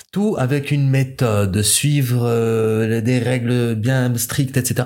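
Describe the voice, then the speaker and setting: A man's voice sits at a medium pitch, varies in pitch in an ordinary way, and unfolds at a very slow pace. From Morocco. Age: 20s. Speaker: foreign student. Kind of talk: interview.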